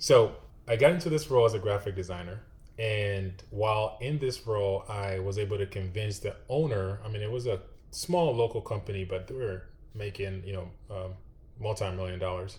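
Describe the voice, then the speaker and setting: A man speaks in a somewhat breathy voice with ordinary pitch variation. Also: fairly low pitch for a man, moderate pace. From Ghana. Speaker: UX designer. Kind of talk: interview.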